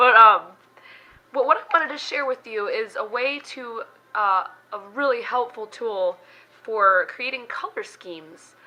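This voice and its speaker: Squeaky and high-pitched, a woman speaks at a fairly slow pace with lively intonation and long, frequent pauses. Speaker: beauty vlogger. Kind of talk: casual vlog talk. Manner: hesitant, many fillers.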